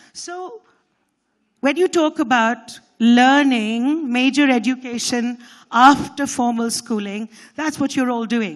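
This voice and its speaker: A woman's high-pitched voice at a very slow pace, with ordinary pitch variation and a quiet background. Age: 60s. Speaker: educator and conference speaker. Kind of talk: conference talk.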